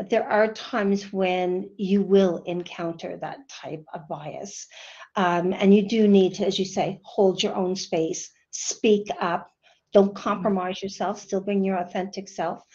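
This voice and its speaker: A woman with a Canadian accent and a dark, mellow tone speaks monotone and flat at a fairly slow pace against a quiet background. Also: medium pitch for a woman. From Canada. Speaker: management consultant; panelist. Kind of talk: panel discussion. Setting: video call. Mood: calm, reflective, encouraging. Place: office. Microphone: video call.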